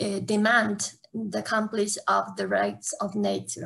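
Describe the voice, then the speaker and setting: Speaking very slowly with an Ecuadorian accent, a woman uses a somewhat breathy, medium-pitched voice against a quiet background. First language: Spanish. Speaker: academic and zero waste activist. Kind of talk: conference panel talk.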